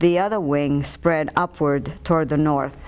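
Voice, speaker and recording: A woman's very deep, low voice with an Italian accent. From Italy. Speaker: author and psychic medium. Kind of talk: interview with book reading. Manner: hesitant with many fillers.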